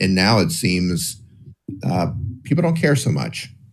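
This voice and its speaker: The speech moves at a moderate pace with very wide pitch swings, and audible room echo is present. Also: man. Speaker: commentator covering a legal case. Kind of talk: livestream discussion.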